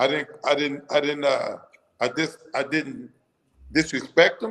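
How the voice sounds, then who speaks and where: Fairly high in pitch, a man talks with ordinary pitch variation. He keeps a moderate pace. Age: 50s. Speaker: boxing strength and conditioning coach. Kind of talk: casual chat. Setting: live stream show.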